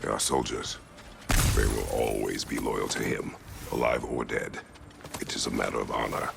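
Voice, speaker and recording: A man's cartoonish character voice at a moderate pace, with clear background noise. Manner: terse, grave.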